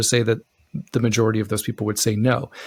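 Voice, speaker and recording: A man speaks with an American accent. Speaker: relationship podcast co-host. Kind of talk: casual chat. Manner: animated.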